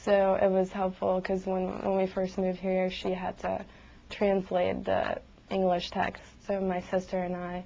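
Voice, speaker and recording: A woman speaks fairly slowly with a Bosnian accent, her medium-pitched voice dark and mellow and her intonation flat and monotone. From Bosnia and Herzegovina. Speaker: medical school applicant. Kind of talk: admissions interview.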